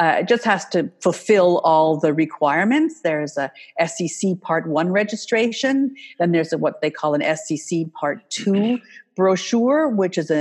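Against a quiet background, a woman with an American accent uses lively intonation in a normal speaking voice. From Canada, US and Switzerland. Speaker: wealth management marketing consultant. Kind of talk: interview.

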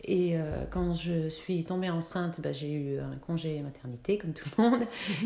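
A woman speaks at a fairly slow pace in a fairly low register, with ordinary pitch variation. Noticeable background noise sits under her voice. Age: 40s. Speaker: entrepreneur, city guide creator. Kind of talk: interview. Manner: chatty; hesitant, many fillers.

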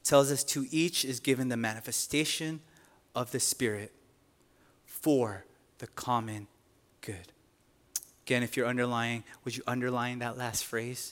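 In a very clean recording with a silent background, a man at medium pitch speaks at a fairly slow pace in an animated tone, with long, frequent pauses and big swings in loudness. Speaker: pastor. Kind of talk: sermon. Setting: church.

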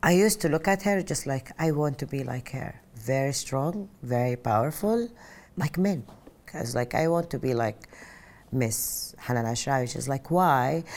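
A woman with an Arabic accent speaks in a very deep, low voice with lively intonation. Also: moderate pace. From Saudi Arabia (Mecca). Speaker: interviewee telling life story. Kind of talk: personal testimony. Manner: loud.

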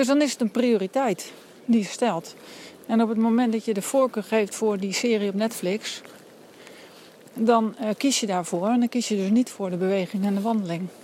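Pausing long and often, a woman speaks in a fairly high voice with fairly even intonation. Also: moderate pace. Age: adult with a family. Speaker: coach with clients, podcaster. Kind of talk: walking monologue podcast. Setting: outdoors, walking in rainy forest.

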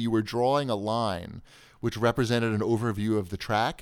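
A man with a Long Island accent, medium pitch and a very fast pace, on a very clean recording with a silent background. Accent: New York (Long Island). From US Northeast (Long Island, New York). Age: 40s. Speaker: deals website owner and podcaster. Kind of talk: casual chat.

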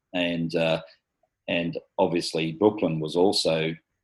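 A man's very deep, low voice with an Australian accent and fairly even intonation, on a very clean recording with a silent background. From Australia, Sydney's rural north-west. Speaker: local councillor. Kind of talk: interview. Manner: halting, many fillers.

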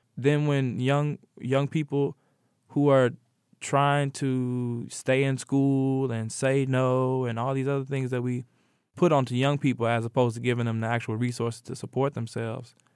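A man with an American accent at a moderate pace, monotone and flat, on a very clean recording with a silent background. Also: medium pitch for a man. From Indianapolis, Indiana (east side). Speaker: artist and educator, community organizer. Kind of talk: interview.

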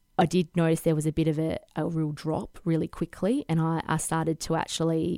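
A woman with an Australian accent speaks at a moderate pace and a fairly low pitch, her intonation monotone and flat, on a very clean recording with a silent background. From Western Australia, Perth. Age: 30s. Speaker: fashion designer. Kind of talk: interview conversation.

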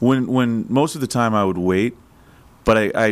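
Recorded very cleanly against a silent background, a man speaks in an unremarkable speaking voice. His pace is moderate and his pitch variation ordinary. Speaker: sports betting analyst. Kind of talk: casual chat. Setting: studio.

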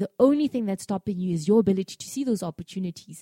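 In a very clean recording with a silent background, a woman with a dark, mellow tone speaks at medium pitch with lively intonation. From South Africa, Free State (Bloemfontein). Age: 30s. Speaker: business executive and entrepreneurship activist. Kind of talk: interview.

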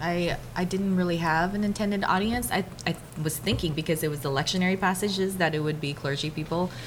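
A woman talks at a very fast pace over noticeable background noise. Her pitch is fairly low, with ordinary pitch variation. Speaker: pastor and podcaster. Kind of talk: panel discussion. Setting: stage with audience.

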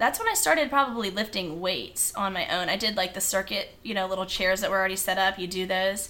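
Noticeable background noise sits behind a woman with an American accent. She talks at a fairly quick pace and a medium pitch. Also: hardly any pauses. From Virginia Beach, Virginia. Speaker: dental hygienist and run club leader. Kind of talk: casual interview.

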